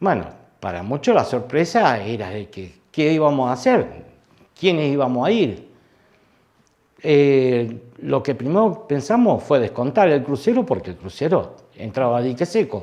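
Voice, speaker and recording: This man has a dark, mellow tone and a fairly high pitch. He talks at a fairly slow pace with very wide pitch swings. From Argentina, Santa Fe city. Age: 60s. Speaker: war veteran. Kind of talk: testimony. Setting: interview. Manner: halting.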